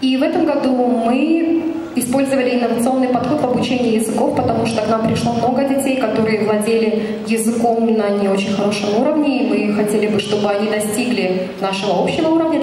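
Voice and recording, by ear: A woman speaks fast in a fairly high pitch with ordinary pitch variation. Audible room echo and loud background noise surround her.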